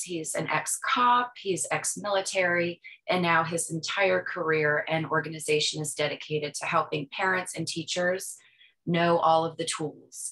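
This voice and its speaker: With an American accent, a woman speaks fairly slowly in a plain, everyday voice, fairly low in pitch and with fairly even intonation. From US East Coast. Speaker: webinar presenter. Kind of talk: webinar Q&A, reading chat comments. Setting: online webinar.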